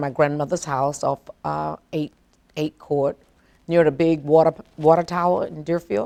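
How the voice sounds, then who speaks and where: A woman's very deep, low pitch with an American accent, in a dry, close sound with no echo. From US South, South Florida. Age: 70s. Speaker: longtime local resident. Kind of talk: oral history interview. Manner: halting.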